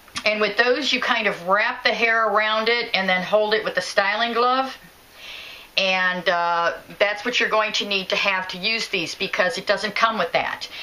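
A woman's fairly level intonation, moderate in pace. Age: 50s. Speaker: product reviewer. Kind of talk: product review tutorial. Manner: hesitant, with fillers. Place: home room. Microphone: phone near.

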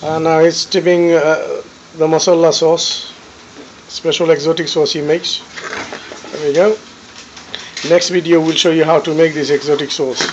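Speech moves at a moderate pace with long, frequent pauses. Light background noise is present. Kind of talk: casual cooking commentary. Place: kitchen. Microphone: phone near.

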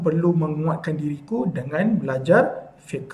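A man speaks with ordinary pitch variation. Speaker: speaker. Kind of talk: sermon. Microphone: webcam.

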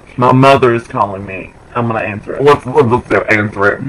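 The speaker is a man going at a moderate pace. His pitch moves in an ordinary way. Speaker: vlogger. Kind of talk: casual vlog chat. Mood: silly, joking. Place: home room. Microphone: webcam.

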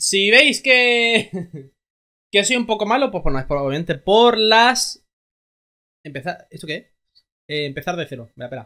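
A man's bright, sharp tone comes through at a fairly slow pace.

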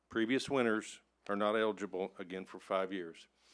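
A man keeps to a moderate pace and fairly even intonation, the background quiet. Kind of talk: public meeting presentation. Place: hall. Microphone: podium.

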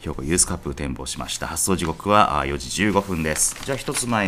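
Noticeable background noise accompanies this man as he talks at a moderate pace. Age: 40s. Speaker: horse racing announcer. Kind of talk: race preview program. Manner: formal.

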